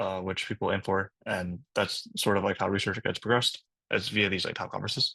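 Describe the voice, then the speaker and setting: A fairly low-pitched man with a bright, sharp tone against a quiet background. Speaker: program director giving an info session. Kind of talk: online info session presentation. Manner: fast; casual with many fillers.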